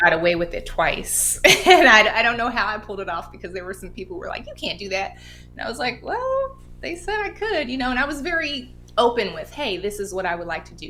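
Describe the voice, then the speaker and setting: A woman with an American accent talks at a very fast pace. Her loudness swings a lot, and there is noticeable background noise. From Oakland, California. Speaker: actor. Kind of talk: interview answer.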